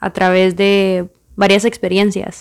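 A woman talks at a medium pitch with a Guatemalan accent. Her pace is very slow. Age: 20s. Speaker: podcast host, engineering student. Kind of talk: podcast monologue.

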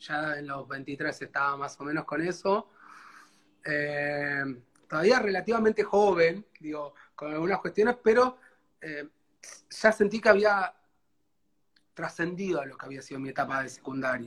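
A man with a fairly high pitch speaks fairly slowly and with lively intonation, his loudness swinging widely between long, frequent pauses. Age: 30s. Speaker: guest sharing life story. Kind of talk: life story interview. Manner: halting.

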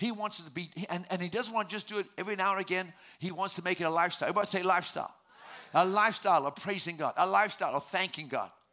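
A man speaks in a raised, projected voice at a high pitch and very fast pace. His tone is animated, bright and sharp, with ordinary pitch variation. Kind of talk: sermon. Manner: animated, call-and-response preaching, exhorting the congregation to shout praise.

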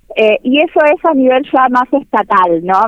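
At a fairly slow pace, a woman speaks in a high pitch that swings very widely. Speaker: university researcher and sociology lecturer. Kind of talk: interview.

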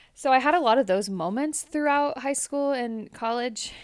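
In a very clean recording with a silent background, a woman with a Californian accent speaks at a moderate pace with ordinary pitch variation. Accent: Californian American. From US, Central Valley California. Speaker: podcast co-host. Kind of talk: casual chat. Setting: home basement.

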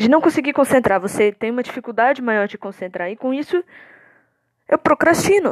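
Pitch swings very widely at a fairly quick pace. The sound is dry and close, with no echo. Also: woman, high pitch for a woman. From Minas Gerais, Brazil (Contagem). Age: 20s. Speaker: podcast host, university student with panic disorder. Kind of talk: personal monologue, testimony. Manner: casual, hesitant with fillers.

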